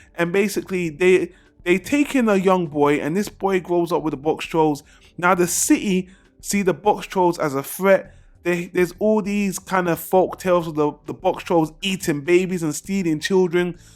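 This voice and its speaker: A man speaks with a high pitch. Music plays in the background. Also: ordinary pitch variation, moderate pace. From England, London. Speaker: film reviewer. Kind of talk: video review monologue. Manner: casual, conversational.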